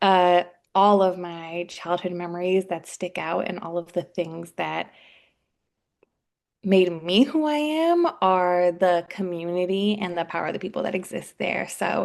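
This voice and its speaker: A woman with a normal speaking voice and an American accent talks at a fairly slow pace, fairly low in pitch with ordinary pitch variation, over a quiet background. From Washington, D.C., US East Coast. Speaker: public health professional and personal trainer. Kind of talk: podcast interview.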